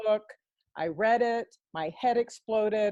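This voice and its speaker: A woman with an American accent talks at a moderate pace in a normal speaking voice. Her pitch is fairly high, and the sound is dry and close with no echo. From Texas. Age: 60s. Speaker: workshop participant. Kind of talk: casual group call sharing.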